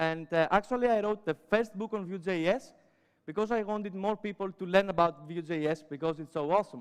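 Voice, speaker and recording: A man's high-pitched voice at a moderate pace. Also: ordinary pitch variation. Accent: Greek. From Greece. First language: Greek. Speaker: web developer and educator. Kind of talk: conference talk. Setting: stage with audience. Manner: many filler sounds.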